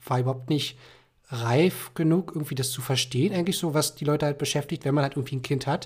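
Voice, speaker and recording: Over a very clean recording with a silent background, a man with a fairly high voice speaks very fast, somewhat breathy and with fairly even intonation. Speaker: sales development representative. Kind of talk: casual chat.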